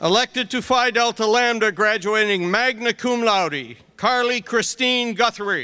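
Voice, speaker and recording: This man projects a raised voice at a high pitch, with ordinary pitch variation. He talks at a fairly slow pace, and his loudness stays very even. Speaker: dean reading graduate names. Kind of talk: reading names aloud at graduation. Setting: stage with audience. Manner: steady, measured. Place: stage.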